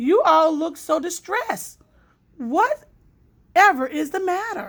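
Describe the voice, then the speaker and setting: A woman uses a put-on character voice, squeaky and extremely high-pitched. She speaks at a fairly slow pace. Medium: read story. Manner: smooth, falsely solicitous.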